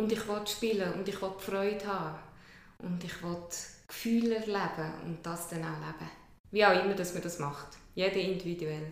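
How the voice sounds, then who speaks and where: A woman at a moderate pace with fairly even intonation, long and frequent pauses, and audible room echo. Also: medium pitch for a woman. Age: 40s. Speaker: kinesiologist. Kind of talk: interview. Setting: her practice.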